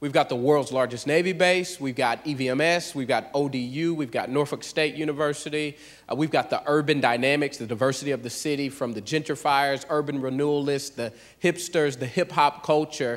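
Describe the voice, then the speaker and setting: This man has an unremarkable speaking voice, a fairly high pitch, an American accent, fairly even intonation and a fairly quick pace. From US South, Pensacola, Florida. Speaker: church planter, pastor. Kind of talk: church testimony. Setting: church.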